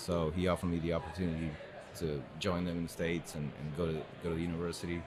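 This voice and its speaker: A man with a Spanish accent talks very fast in a very deep, low voice. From Uruguay (Montevideo). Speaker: arborist and tree risk expert. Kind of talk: casual interview chat. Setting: recorded at a tree care festival.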